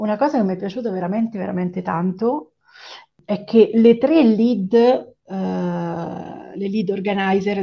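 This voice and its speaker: Her pace is fairly slow, at a medium pitch for a woman. The woman's pitch variation is ordinary. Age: 40s. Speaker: web designer. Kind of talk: interview. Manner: halting.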